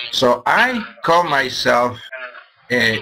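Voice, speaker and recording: With music playing behind him, a man with a Hungarian accent speaks very slowly, his pitch swinging very widely. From Hungary. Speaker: business presenter. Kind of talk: sales pitch.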